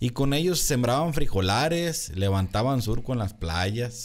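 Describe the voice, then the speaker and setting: A man talks with ordinary pitch variation. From Jalisco, Mexico (Tonalá / Guadalajara area); Jalisco, Mexico. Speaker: agronomist; podcast guest. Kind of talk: casual chat. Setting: studio. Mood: relaxed, candid, joking. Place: studio. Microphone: studio mic.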